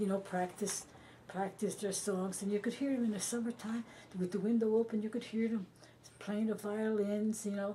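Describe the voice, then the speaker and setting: Her pace is moderate and her pitch is medium for a woman. The intonation stays monotone and flat. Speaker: oral history interviewee, war-era local resident. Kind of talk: oral history interview answer. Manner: conversational, reminiscing.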